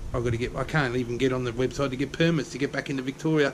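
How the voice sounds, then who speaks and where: Over noticeable background noise, a man speaks very fast in a monotone, flat intonation. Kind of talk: casual vlog chat. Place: garage. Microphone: phone near.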